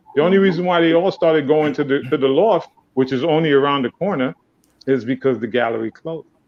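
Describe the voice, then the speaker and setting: A man rattles along at a very fast pace, his fairly high voice showing ordinary pitch variation. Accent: New York. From Haiti, raised in New York City from age 7. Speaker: dancer. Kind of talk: casual panel discussion. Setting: live streamed online panel. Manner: animated.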